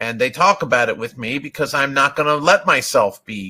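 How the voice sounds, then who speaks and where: A man's fairly high, bright, sharp voice with an American accent and lively intonation. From US Northeast (Vermont). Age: old. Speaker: software testing consultant. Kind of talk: webinar presentation. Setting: online webinar. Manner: confident.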